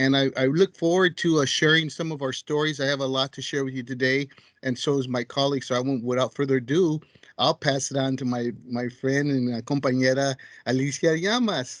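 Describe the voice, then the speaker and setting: Fairly even in intonation, an ordinary speaking voice moves along at a fairly quick pace. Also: man, fairly high pitch for a man. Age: 60s. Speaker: community peer co-host. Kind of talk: casual chat.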